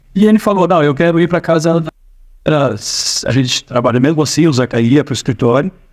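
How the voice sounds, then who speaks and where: A man with lively intonation. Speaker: storyteller. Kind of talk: personal anecdote. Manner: casual, hesitant. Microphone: no microphone, AI-enhanced audio.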